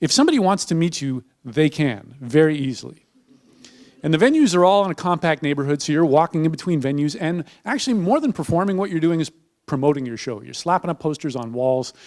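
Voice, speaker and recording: A man with a fairly high pitch talks very fast with lively intonation. The sound is dry and close with no echo, on a very clean recording with a silent background. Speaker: storyteller and monologist. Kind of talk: live stage storytelling talk. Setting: live theatre stage.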